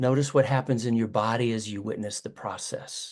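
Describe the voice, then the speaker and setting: This is an ordinary speaking voice at a moderate pace with ordinary pitch variation. The background is quiet. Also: man. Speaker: restorative justice facilitator. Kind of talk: webinar facilitation.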